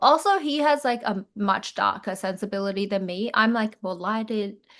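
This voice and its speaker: A woman with an Australian accent, medium pitch, and a moderate pace. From Chinese Australian. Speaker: actress and comedy creator. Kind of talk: interview answer. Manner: casual, chatty.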